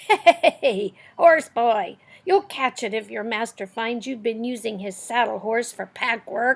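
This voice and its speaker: A woman's put-on character voice, raspy and fairly high in pitch, with lively intonation at a fairly slow pace. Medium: read story.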